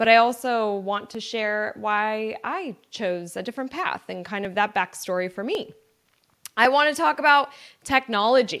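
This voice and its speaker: A woman speaks at a moderate pace in a fairly high pitch. Her tone is animated and her intonation lively. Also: big swings in loudness, very clean recording, silent background. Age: 30s. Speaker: podcast host and entrepreneur. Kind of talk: casual solo monologue.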